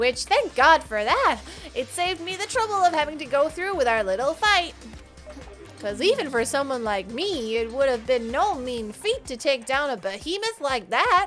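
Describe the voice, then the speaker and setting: Clear music plays in the background as a woman puts on a high-pitched character voice. She talks at a moderate pace. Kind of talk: game dramatic reading. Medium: actual play. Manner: mocking, playful.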